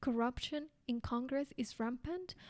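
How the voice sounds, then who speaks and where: In a Spanish accent, a woman speaks with a high pitch, a dark, mellow tone, and fairly even intonation, recorded very cleanly with a silent background and a dry, close sound with no echo. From Colombia. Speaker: podcaster. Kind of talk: news-style chronicle narration.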